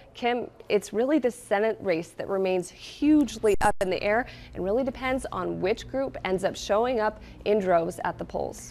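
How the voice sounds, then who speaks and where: Speaking at a moderate pace, a woman has a plain, everyday voice with medium pitch and ordinary pitch variation. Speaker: television news anchor and reporter. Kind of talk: broadcast news anchoring and live reporting.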